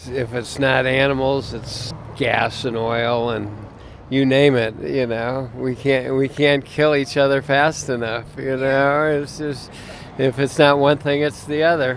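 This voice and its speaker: A man's medium-pitched, flat monotone at a fairly slow pace, with noticeable background noise. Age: 70s. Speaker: passer-by interviewed about veganism. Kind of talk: street interview.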